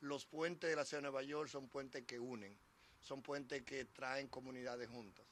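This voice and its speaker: Rushing at a very fast pace, a man talks at a medium pitch with fairly even intonation. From Dominican Republic. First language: Spanish. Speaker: transportation commissioner. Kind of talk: public speech.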